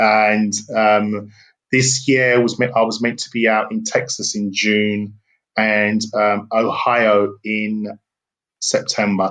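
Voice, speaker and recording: A man speaks in a British accent at a fairly low pitch. His intonation is monotone and flat. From England. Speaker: business consultant and speaker. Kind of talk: interview.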